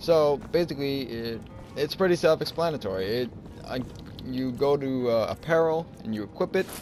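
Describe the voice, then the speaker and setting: The speaker talks at a moderate pace with ordinary pitch variation. Music plays in the background. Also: man, fairly high pitch for a man. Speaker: gaming YouTuber doing mod reviews. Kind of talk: casual gameplay commentary. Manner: shy, mumbling at times.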